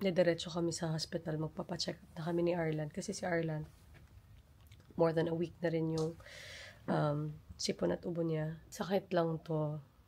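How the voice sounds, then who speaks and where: A woman with a dark, mellow tone speaks at a moderate pace. Her intonation is monotone and flat, with big swings in loudness. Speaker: family vlogger. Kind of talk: casual vlog talk.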